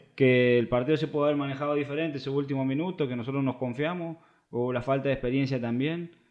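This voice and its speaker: Against a quiet background, a man talks at a very fast pace in a fairly high pitch with fairly even intonation. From Argentina, small town in Córdoba. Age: 20s. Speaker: professional footballer; podcast guest. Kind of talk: casual interview. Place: home room.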